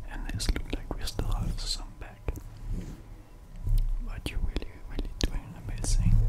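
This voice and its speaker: A man whispers in a gentle tone at a fairly slow pace. Long, frequent pauses break up his words. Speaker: ASMR content creator. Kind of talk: ASMR roleplay ear cleaning, speaking to the listener. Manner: soft, gentle, relaxing. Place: home room. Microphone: studio mic.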